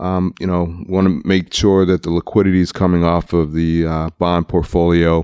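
In an American accent, a man speaks at a moderate pace with a very deep, low pitch, a dark, mellow tone and monotone, flat intonation, the sound dry and close with no echo. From US, Baltimore, Maryland. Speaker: credit union finance executive. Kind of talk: interview. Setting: conference.

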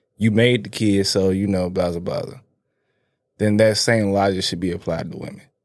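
Audible room echo surrounds a man speaking at a moderate pace with a fairly low pitch and monotone, flat intonation. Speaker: podcast co-host. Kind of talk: casual chat.

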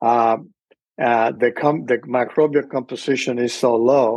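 Against a quiet background, a man speaks at medium pitch with a Spanish accent. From Cuba. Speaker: microbiologist. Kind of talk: interview.

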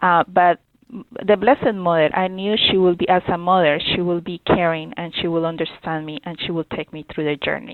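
The speaker has a Spanish accent. There are hardly any pauses. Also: woman, fairly low pitch for a woman, fairly even intonation, moderate pace, big swings in loudness. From Colombia. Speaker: youth ministry director. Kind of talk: interview. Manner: halting.

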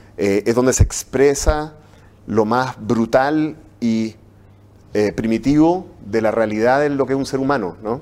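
Here a man speaks at a medium pitch with ordinary pitch variation. His pace is fairly slow. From Chile. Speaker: university professor. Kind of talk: interview. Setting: studio. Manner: halting.

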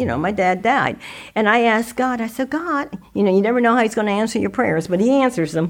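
A normal speaking voice with an American accent and lively intonation. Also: woman. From Dayton, Ohio. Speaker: former politician. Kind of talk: casual interview.

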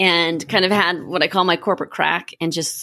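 A woman with an American accent speaks at a moderate pace in a fairly low voice with vocal fry. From Minnesota. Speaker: executive coach and retreat co-founder. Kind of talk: interview.

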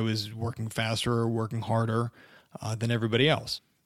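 Here is a normal speaking voice. The recording is very clean, with a silent background. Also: man. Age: 30s. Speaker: podcast host, personal injury lawyer. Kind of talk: solo podcast monologue. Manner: casual, conversational.

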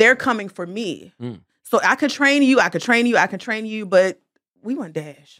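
On a very clean recording with a silent background, a woman with a fairly high pitch speaks at a moderate pace, her loudness swinging widely. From Baltimore. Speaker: masseuse and entrepreneur. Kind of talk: casual chat.

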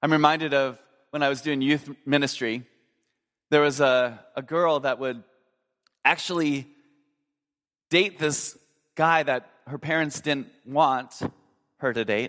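On a very clean recording with a silent background, a man with an American accent speaks with fairly even intonation and long, frequent pauses. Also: fairly high pitch for a man. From Minnesota, US Midwest. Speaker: pastor. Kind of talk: sermon.

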